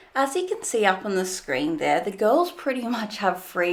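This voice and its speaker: A woman with an Australian accent, medium pitch and very wide pitch swings. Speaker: fitness commentary channel host. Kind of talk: video commentary.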